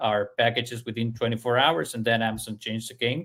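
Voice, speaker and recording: Speaking with a non-native accent, a man has a medium-pitched voice. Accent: foreign. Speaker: service industry analyst. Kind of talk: podcast discussion. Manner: halting, many fillers.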